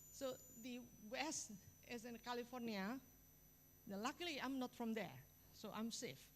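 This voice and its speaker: At a moderate pace, a woman speaks with a fairly high pitch and lively intonation. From Indonesia. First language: Indonesian. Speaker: university biology professor. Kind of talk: lecture.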